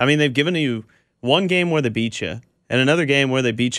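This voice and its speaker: A man with an ordinary speaking voice talks at a medium pitch with lively intonation. The recording is very clean, with a silent background. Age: 20s. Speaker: sports radio co-host. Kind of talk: sports talk radio.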